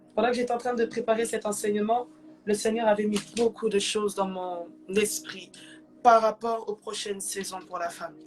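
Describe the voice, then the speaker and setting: Music plays in the background behind a woman with a fairly high pitch. She talks at a moderate pace with fairly even intonation. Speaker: preacher. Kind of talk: sermon.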